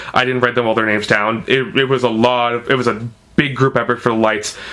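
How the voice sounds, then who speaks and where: At a very fast pace, a man talks with a medium pitch and fairly even intonation over noticeable background noise. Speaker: vlogger reviewing theatre. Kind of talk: casual vlog review. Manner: halting, many fillers and restarts.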